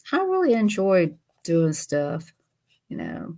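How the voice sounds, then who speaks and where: The voice has a dark, mellow tone. It carries a Southern US accent. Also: woman. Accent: Southern US (Georgia). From US South, Georgia. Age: 60s. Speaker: YouTuber doing a craft livestream. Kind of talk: casual livestream chat. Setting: sit-down livestream.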